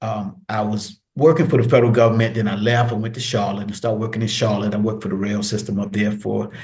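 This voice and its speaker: A man's somewhat breathy, fairly low-pitched voice with an American accent. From US. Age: 50s. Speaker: retired military veteran and social work graduate. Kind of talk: casual interview.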